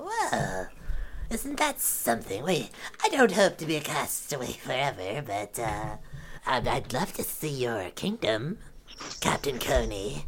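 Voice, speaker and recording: A put-on character voice at a low-to-middle pitch moves at a fairly slow pace with long, frequent pauses over clear background noise. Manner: theatrical, flattering, indignant.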